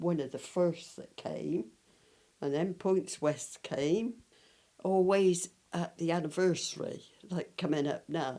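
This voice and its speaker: With a West Country accent, a woman speaks at a fairly slow pace in a very deep, low pitch, her tone dark and mellow, with ordinary pitch variation. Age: 80s+. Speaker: local resident, eyewitness of village history. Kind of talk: interview, reminiscing.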